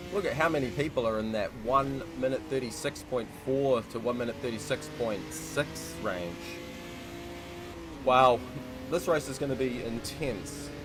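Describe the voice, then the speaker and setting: Over background music, a man with a New Zealand accent talks at a fairly slow pace in a medium pitch with ordinary pitch variation. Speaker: sim racing commentator. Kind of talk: live commentary. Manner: casual, filler-heavy.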